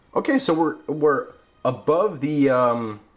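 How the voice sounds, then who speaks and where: A man is speaking. The background is quiet. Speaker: hobbyist card opener vlogger. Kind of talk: solo card unboxing monologue. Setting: alone talking to a camera.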